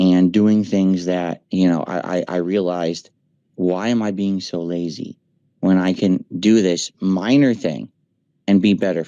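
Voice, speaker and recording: A man's very deep, low voice has a dark, mellow tone, moving at a fairly slow pace with fairly even intonation. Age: 40s. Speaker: streamer. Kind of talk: casual chat. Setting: voice chat.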